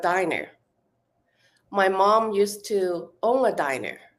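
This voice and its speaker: Speaking with a Hong Kong accent, a woman uses a medium pitch and fairly even intonation. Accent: Hong Kong Chinese accent in English. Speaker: actress. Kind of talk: interview. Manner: halting, many fillers and restarts.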